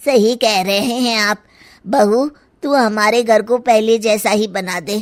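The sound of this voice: A cartoonish character voice at a moderate pace, with fairly even intonation. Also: woman, fairly high pitch for a woman.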